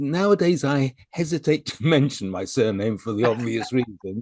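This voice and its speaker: A man's medium-pitched voice at a moderate pace, with very wide pitch swings and a dry, close sound with no echo. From UK. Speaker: presentation skills coach and former TV shopping channel presenter. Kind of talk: online interview answer, conversational.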